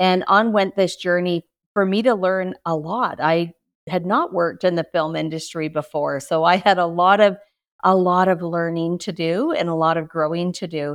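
A woman's ordinary speaking voice, fairly low in pitch, with fairly even intonation, a moderate pace and a very clean recording over a silent background. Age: 60s. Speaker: speaker and author. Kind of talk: casual interview chat.

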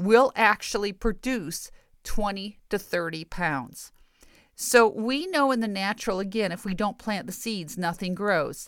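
A woman with an American accent speaks at a medium pitch and a fairly slow pace. Her intonation is lively. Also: very clean recording, silent background. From US Midwest, rural Michigan. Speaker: preacher and podcast host. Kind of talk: sermon-style Bible teaching. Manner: emphatic, repetitive.

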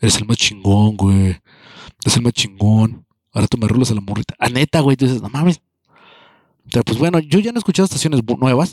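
In a very clean recording with a silent background and a dry, close sound with no echo, a man talks in an animated tone at a medium pitch and a fairly quick pace, with long, frequent pauses. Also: lively intonation. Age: 30s. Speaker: podcaster. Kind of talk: casual monologue.

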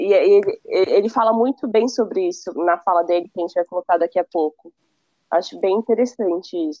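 At a moderate pace, the voice has a dark, mellow tone and a dry, close sound with no echo. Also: woman. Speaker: university student. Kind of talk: casual chat.

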